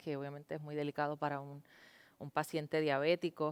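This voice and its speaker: In a very clean recording with a silent background and a dry, close sound with no echo, a woman speaks with a very deep, low pitch. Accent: Puerto Rican. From Puerto Rico. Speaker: TV news anchor. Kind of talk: interview.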